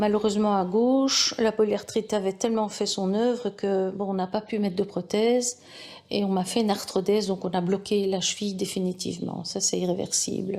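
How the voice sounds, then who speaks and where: This woman has a dark, mellow tone. Her intonation stays monotone and flat. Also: medium pitch for a woman, moderate pace. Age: 60s. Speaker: patient giving testimony. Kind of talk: testimony. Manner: halting with frequent hesitations.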